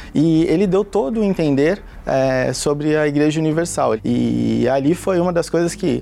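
The speaker uses ordinary pitch variation while noticeable background noise runs underneath. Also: man. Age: 30s. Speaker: bank employee. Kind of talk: testimony.

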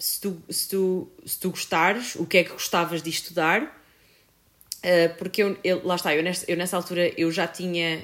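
A woman speaks in a flat monotone at a moderate pace. Her pitch is fairly low. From Portugal, Viseu. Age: 20s. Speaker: photographer and filmmaker. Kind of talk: casual chat.

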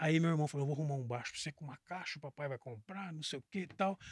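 A man talks at a very fast pace in a fairly high, somewhat breathy voice. The recording is very clean with a silent background and a dry, close sound with no echo. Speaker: bass player and music teacher. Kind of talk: casual podcast interview.

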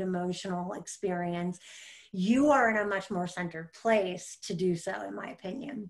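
This woman has an ordinary speaking voice with an American accent. Her pitch is medium, with ordinary variation. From US Midwest, small-town Michigan. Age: 30s. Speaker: spiritual guide and podcast co-host. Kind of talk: casual interview chat.

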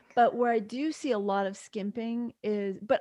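Against a quiet background, a woman speaks at a moderate pace in a plain, everyday voice. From New York. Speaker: physician and midwife. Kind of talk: interview.

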